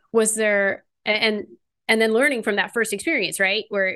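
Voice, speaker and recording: A woman with an American accent talks at a fairly quick pace in a bright, sharp tone against a quiet background. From California. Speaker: podcast host, skatepark advocate. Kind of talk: interview.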